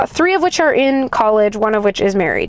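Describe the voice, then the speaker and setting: An animated tone and lively intonation come through over noticeable background noise. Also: woman. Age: 20s. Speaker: vlogger. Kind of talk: casual vlog monologue. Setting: in a car.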